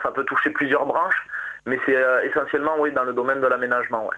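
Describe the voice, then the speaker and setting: A man talks very fast in a southwestern French accent. Noticeable background noise sits behind him. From southwest France, Agen. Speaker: marathon runner. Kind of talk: radio interview. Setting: phone call. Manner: halting.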